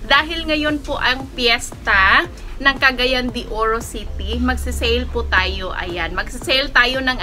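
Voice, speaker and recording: A woman talks at a fairly slow pace while music plays in the background. Room echo is audible. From Philippines. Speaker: online plant seller and vlogger. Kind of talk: live selling vlog. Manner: halting, many fillers.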